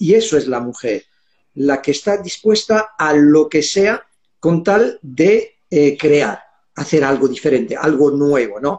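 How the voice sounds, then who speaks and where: This man has a fairly high pitch and ordinary pitch variation. It is an ordinary speaking voice. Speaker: holistic therapist, guest. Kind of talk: casual panel discussion.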